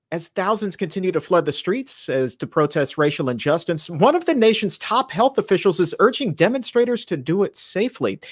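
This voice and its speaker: Against a quiet background, a man speaks with very wide pitch swings and hardly any pauses. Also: fairly quick pace. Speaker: show host. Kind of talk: news headline presentation. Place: home room.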